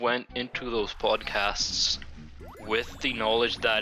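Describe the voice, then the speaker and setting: Music plays behind a man whose pitch is medium. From Poland. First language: Polish. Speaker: gaming YouTuber. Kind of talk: casual chat. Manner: halting, many repetitions.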